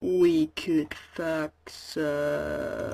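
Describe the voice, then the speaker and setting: A cartoonish character voice delivered at a middle pitch. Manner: crude, blunt.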